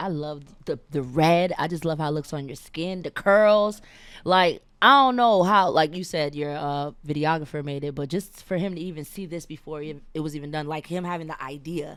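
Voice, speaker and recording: A woman with an American accent speaks at a moderate pace with a very deep, low pitch and ordinary pitch variation. Her loudness swings a lot, and the recording is very clean with a silent background. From New York. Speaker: interview host. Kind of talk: interview. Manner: animated.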